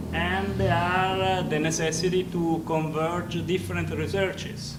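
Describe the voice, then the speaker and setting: Amid audible room echo and noticeable background noise, a man with an Italian accent and a fairly high pitch speaks at a fairly slow pace. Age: 50s. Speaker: engineering professor. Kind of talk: lecture. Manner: loud; halting.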